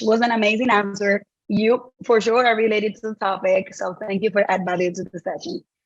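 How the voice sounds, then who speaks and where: The speaker talks at a fairly quick pace with a Dominican accent and ordinary pitch variation. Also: woman. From Dominican Republic. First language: Spanish. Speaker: sustainability trainer. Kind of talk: online workshop.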